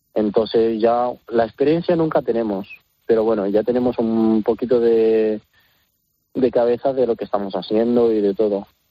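Delivery is moderately paced. Its intonation remains fairly level. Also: man, medium pitch for a man. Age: young. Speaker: circus trapeze artist. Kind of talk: interview. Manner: halting.

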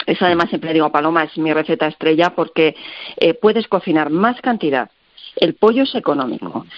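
A woman's ordinary speaking voice, fairly low in pitch, with lively intonation. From Castilla-La Mancha, Spain. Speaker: recipe website creator, cook. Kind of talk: radio interview.

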